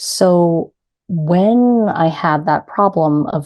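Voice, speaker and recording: Against a quiet background, a woman with an American accent speaks at a medium pitch in a dark, mellow tone with lively intonation. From US, New York City. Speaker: grief coach. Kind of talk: interview.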